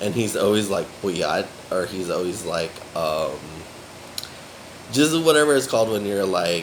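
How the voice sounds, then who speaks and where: A man with an American accent, audible room echo and noticeable background noise. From USA. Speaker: vlogger. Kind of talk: casual vlog monologue. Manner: filler-heavy, rambling speech.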